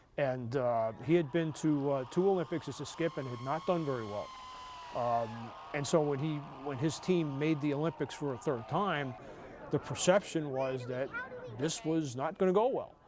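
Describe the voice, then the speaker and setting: The speaker has an American accent and talks at a moderate pace with ordinary pitch variation, against noticeable background noise. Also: man, fairly high pitch for a man. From New York. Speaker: sportswriter and author. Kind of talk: TV interview.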